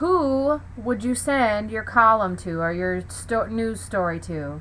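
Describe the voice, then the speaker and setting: A woman speaks. Audible room echo surrounds her voice. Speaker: teacher. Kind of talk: lecture. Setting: home basement.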